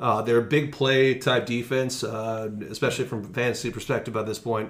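A man with a plain, everyday voice, medium in pitch, at a moderate pace. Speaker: podcast host. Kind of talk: casual sports chat.

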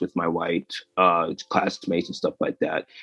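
The man's voice comes across dry and close, with no echo. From Western Massachusetts, US. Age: 20s. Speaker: animator and comedian. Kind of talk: interview.

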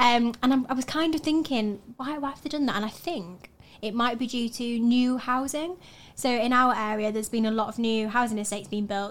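A woman with a Yorkshire accent speaks at a fairly quick pace on a very clean recording with a silent background. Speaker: student podcast co-host. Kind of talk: casual chat.

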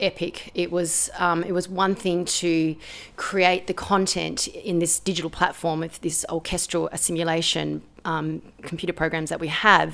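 Vocal fry and monotone, flat intonation at a moderate pace, with an Australian accent. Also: woman, fairly low pitch for a woman. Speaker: composer and pianist. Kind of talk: interview.

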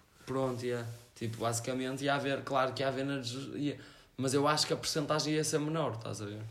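Audible room echo surrounds a man speaking at a fairly quick pace. His pitch is medium and his intonation fairly even. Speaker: amateur surf instructor. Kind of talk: casual chat.

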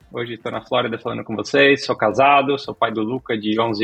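Fairly quick delivery with fairly even intonation. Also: man. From Brazil, moved around (Santa Catarina, Minas, São Paulo). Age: 40s. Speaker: tech company CEO. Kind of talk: interview.

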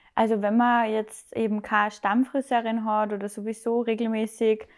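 A woman with a Salzburg accent talks in a fairly high pitch. Her intonation is monotone and flat, on a very clean recording with a silent background. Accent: Austrian German (Salzburg). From Austria, Salzburg. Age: 20s. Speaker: hairdresser and bridal stylist. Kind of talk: casual interview.

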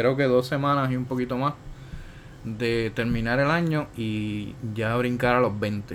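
The man's pitch is medium, with ordinary pitch variation. He speaks at a very slow pace. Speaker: podcast host. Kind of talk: casual chat.

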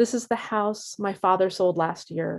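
Her voice dramatic, a woman with an American accent speaks at medium pitch with fairly even intonation in a very clean recording with a silent background. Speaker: poet. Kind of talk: poetry reading. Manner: measured, deliberate, dramatic.

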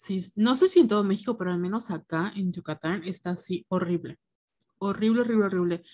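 A somewhat breathy woman's voice, medium in pitch and dark and mellow in tone, with fairly even intonation. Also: fairly quick pace. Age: 20s. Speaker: podcast co-host. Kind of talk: casual chat.

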